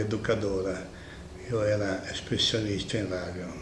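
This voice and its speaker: A man with a fairly low pitch speaks in a monotone, flat intonation, with audible room echo and noticeable background noise. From Italy, Milan. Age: 70s. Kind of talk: interview.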